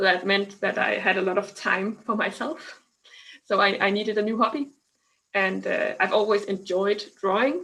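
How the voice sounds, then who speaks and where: Here is a woman with a Danish accent. Her pitch sits in the medium range. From Denmark. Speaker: scientist and science communicator. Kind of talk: online interview. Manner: halting.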